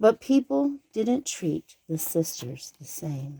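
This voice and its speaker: Very slow pacing in a put-on character voice, pitched in the middle range. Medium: read story.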